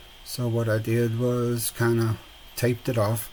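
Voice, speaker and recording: A man's relaxed, medium-pitched voice with an American accent, monotone and flat, over noticeable background noise. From Southern Texas. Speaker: resin and mixed media crafter. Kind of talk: voiceover tutorial. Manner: relaxed, hesitant with fillers.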